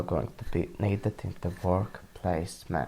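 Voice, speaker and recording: Speaking fairly slowly with a non-native accent, a man comes across somewhat breathy, his tone dark and mellow. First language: not English. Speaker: university student. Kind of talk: student podcast presentation. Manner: some hesitations and self-corrections.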